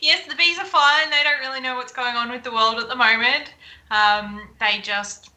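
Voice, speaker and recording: With an Australian accent, a woman speaks at a high pitch and a moderate pace, her pitch varying in an ordinary way. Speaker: beekeeper and honey business owner. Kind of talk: live-streamed interview.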